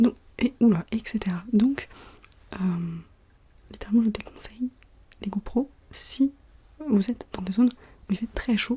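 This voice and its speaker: Soft-spoken and somewhat breathy, a woman with a fairly high pitch, ordinary pitch variation and a dark, mellow tone speaks at a fairly slow pace with long, frequent pauses. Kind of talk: casual talk to camera.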